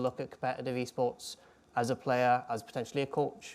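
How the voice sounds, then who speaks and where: In a Welsh accent, a man speaks at a medium pitch. His intonation is monotone and flat. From Wales. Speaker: ex-professional esports player and coach. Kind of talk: talk to students.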